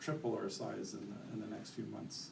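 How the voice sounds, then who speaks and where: A man with a Canadian accent speaks at a moderate pace amid noticeable background noise and audible room echo. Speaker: company executive presenting products. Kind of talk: conference presentation. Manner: loud.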